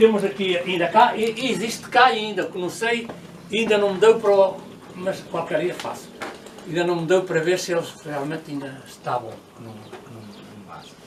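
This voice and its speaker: Amid noticeable background noise and audible room echo, a man speaks at a high pitch with lively intonation. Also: moderate pace, big swings in loudness. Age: 80s+. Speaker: local elder explaining old traditions. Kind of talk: casual explanatory chat on a guided visit. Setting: old village olive press, with visitors. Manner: halting, with many repetitions.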